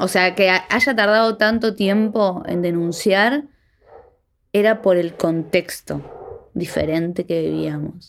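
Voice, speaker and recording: At a very slow pace, a woman with a medium pitch talks with ordinary pitch variation. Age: 30s. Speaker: artist and abuse survivor testifying. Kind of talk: testimony interview.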